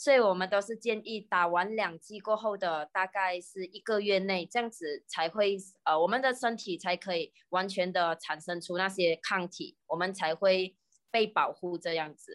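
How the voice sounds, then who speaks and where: Recorded very cleanly with a silent background, this voice with a Malaysian accent has a dry, close sound with no echo. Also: woman, medium pitch for a woman, ordinary pitch variation, moderate pace. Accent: Malaysian Mandarin. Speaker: pharmacist and YouTuber. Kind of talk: casual chat explaining science.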